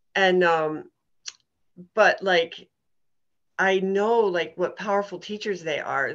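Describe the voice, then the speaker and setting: A woman talks in a normal speaking voice. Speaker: horse herd keeper and interviewer. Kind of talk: interview question.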